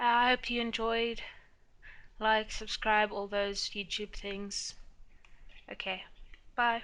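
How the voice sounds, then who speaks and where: A woman with a South African accent speaks very slowly, leaving long, frequent pauses. Her fairly high pitch has a bright, sharp tone and a monotone, flat intonation. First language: Afrikaans. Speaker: planner YouTuber. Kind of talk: casual chat.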